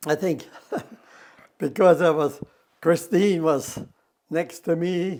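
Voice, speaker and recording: Speaking with an American accent, a man talks at a very slow pace. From US Midwest, rural North Dakota. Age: 80s+. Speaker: elderly farmer interviewee. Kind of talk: interview. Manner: halting.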